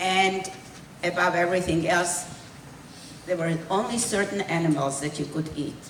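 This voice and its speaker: Amid noticeable background noise and audible room echo, a woman with a fairly low pitch speaks at a moderate pace with long, frequent pauses. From Hungary, raised in Israel. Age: 80s+. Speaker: Holocaust survivor speaker. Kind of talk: testimony. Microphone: held too far from mouth.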